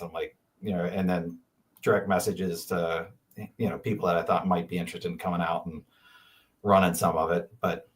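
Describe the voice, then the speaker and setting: Speaking fairly quickly with long, frequent pauses, a man with a very deep, low pitch and a Pennsylvania accent keeps a monotone, flat intonation. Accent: Franklin County, Pennsylvania. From Pennsylvania, Franklin County. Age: 50s. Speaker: ultrarunner. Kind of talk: casual chat.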